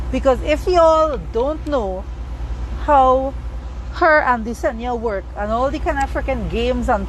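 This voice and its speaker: In a Trinidadian accent, a woman talks at a moderate pace. Room echo is audible, and background noise is noticeable. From Trinidad and Tobago. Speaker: social media commentator on plastic surgery. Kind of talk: livestream chat answering comments. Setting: live stream. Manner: animated.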